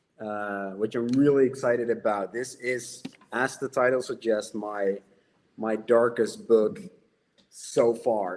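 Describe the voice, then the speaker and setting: Speaking with a Dutch accent, a man keeps a fairly even intonation at a fairly slow pace. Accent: Dutch accent, noticeable. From Netherlands. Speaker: horror novelist. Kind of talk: casual chat.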